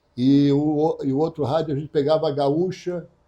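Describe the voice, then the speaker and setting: A man's dark, mellow tone, fairly high in pitch, in a monotone, flat delivery. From Santa Catarina, Brazil (Tubarão). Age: 70s. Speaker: radio broadcaster and journalist. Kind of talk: interview.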